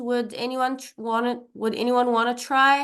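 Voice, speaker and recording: Over a quiet background, a woman with an Arabic accent talks at a fairly slow pace with a high pitch. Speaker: English teacher. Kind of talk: online language class. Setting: video call.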